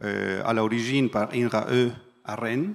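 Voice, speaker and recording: In a non-native accent, someone talks at a very slow pace. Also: man, very clean recording, silent background. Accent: foreign. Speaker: industry project manager. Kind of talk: panel talk.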